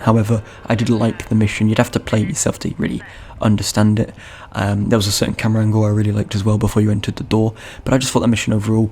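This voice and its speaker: A fairly low-pitched man, very fast and monotone with flat intonation, over noticeable background noise. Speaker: gaming youtuber. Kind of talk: unscripted video game review. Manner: halting, self-correcting; casual rambling.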